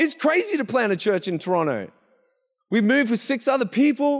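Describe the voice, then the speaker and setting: A man talks at a fairly quick pace in an animated, passionate tone with lively intonation. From Gippsland, Victoria, Australia. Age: 30s. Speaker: church pastor. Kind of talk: sermon. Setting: church with live audience and online stream. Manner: animated, passionate preacher.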